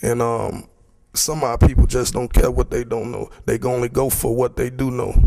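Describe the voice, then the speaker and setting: Noticeable background noise fills the recording. A man speaks at a moderate pace. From Chicago, US. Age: 20s. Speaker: community member speaking at a public forum. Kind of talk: public forum speech. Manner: halting, many repetitions and fillers.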